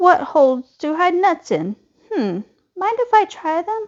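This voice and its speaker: The voice moves at a fairly slow pace. It is a put-on character voice. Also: woman, extremely high pitch for a woman. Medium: read story. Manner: curious.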